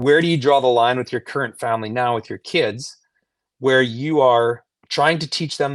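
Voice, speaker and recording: Here a man speaks at medium pitch and a moderate pace, with ordinary pitch variation. It is an unremarkable speaking voice against a quiet background. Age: 40s.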